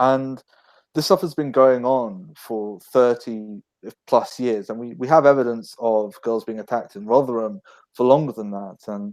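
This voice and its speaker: With a London accent, a man talks at a moderate pace and medium pitch, his loudness swinging widely while his pitch varies in an ordinary way. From northwest London, England. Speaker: book author. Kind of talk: casual chat.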